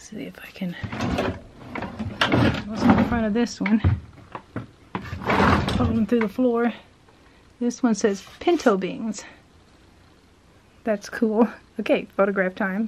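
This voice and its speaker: Loud background noise surrounds a woman speaking at a fairly slow pace. She uses ordinary pitch variation and takes long, frequent pauses. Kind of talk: casual exploring commentary. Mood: curious, delighted. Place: shop. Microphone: phone near.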